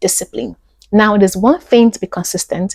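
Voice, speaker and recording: Somewhat breathy and animated in tone, a woman speaks in a dry, close sound with no echo. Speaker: actor and YouTuber. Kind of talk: podcast monologue.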